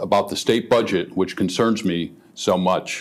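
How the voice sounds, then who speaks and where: A man talks at a moderate pace. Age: 60s. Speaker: political candidate. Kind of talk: political debate. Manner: hesitant, many fillers.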